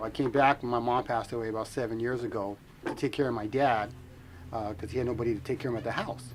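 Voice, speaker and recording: Talking at a very fast pace, a man holds a medium pitch in a monotone, flat intonation. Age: 40s. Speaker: typewriter repairman. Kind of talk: documentary interview.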